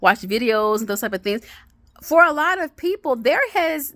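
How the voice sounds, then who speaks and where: Over a very clean recording with a silent background, a woman speaks in a bright, sharp tone with very wide pitch swings and a dry, close sound with no echo. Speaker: vlogger sharing health journey. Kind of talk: casual monologue vlog. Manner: fast.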